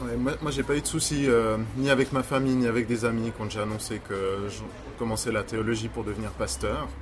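A man with a slight Swiss French accent, moderate pace and ordinary pitch variation, over noticeable background noise. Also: medium pitch for a man. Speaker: pastor. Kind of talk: casual chat.

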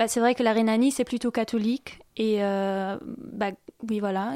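With a German accent, a woman speaks at a fairly high pitch with fairly even intonation in a very clean recording with a silent background. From western Germany, Viersen (Rhineland). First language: German (speaking French). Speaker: exchange student. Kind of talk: radio interview. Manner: hesitant, many fillers.

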